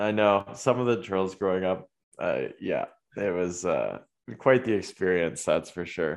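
Against a quiet background, a man with a Canadian accent speaks at a fairly slow pace. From Ontario, Waterloo. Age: 20s. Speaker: college soccer goalkeeper. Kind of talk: casual chat.

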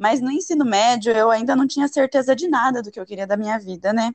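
A woman talks at a fairly quick pace. Her pitch is fairly high and varies in an ordinary way. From Brazil, Paraná. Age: 30s. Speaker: fashion designer and environmental engineer. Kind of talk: interview.

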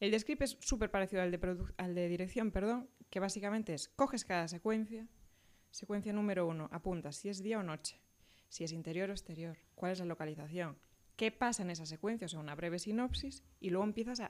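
Here a woman with an unremarkable speaking voice talks at a moderate pace, her medium pitch showing ordinary pitch variation. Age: 30s. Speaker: film script supervisor. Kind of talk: casual chat.

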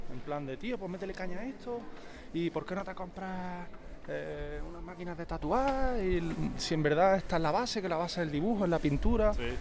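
A man talks at a fairly quick pace with a high pitch and ordinary pitch variation. Noticeable background noise and audible room echo surround him. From Andalusia, Spain. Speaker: painter and tattoo artist. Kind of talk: casual chat. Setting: outdoors.

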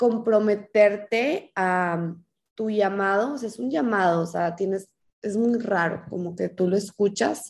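Speaking fairly slowly, a woman uses a medium pitch. Her pitch varies in an ordinary way. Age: 20s. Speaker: menstrual health specialist. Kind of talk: interview.

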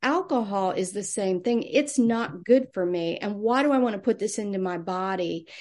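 Against a quiet background, a woman with a normal speaking voice and medium pitch talks at a moderate pace with ordinary pitch variation and hardly any pauses. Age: 60s. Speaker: nurse and wellness coach. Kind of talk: interview conversation.

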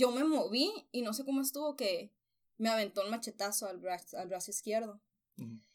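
Here a woman uses an unremarkable speaking voice, set at a fairly high pitch with ordinary pitch variation and a moderate pace. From Mexico, Sonora (Nogales). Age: 20s. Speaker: communications professional and writer. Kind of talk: personal testimony. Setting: home-made sound-dampened room.

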